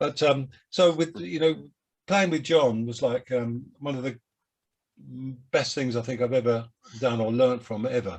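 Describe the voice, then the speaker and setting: A man with a Cockney accent speaks at a moderate pace and medium pitch, with ordinary pitch variation. He takes long, frequent pauses. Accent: Cockney London English. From London, England. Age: 70s. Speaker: jazz saxophonist. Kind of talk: interview. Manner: halting.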